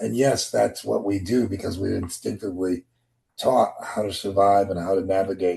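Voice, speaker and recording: This man talks at a moderate pace, his fairly low voice dark, mellow and somewhat breathy. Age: 60s. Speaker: discussion participant. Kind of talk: group discussion.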